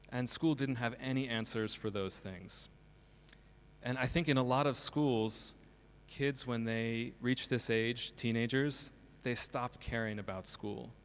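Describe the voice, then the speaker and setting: Speaking fairly slowly with fairly even intonation, a man with an American accent has a medium pitch. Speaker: school principal and co-founder. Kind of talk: conference talk. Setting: stage with audience.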